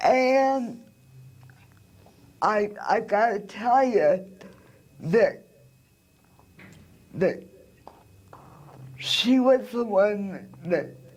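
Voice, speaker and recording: With an American accent, a woman speaks at a fairly high pitch and a very slow pace. Her intonation is lively, broken by long, frequent pauses. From US Midwest, Des Moines, Iowa. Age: 60s. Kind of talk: interview.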